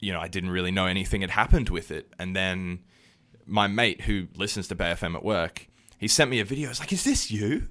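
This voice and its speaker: A very deep, low male voice with an Australian accent and a bright, sharp tone, at a fairly quick pace on a very clean recording with a silent background. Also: ordinary pitch variation. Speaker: musician. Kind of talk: casual chat. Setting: studio.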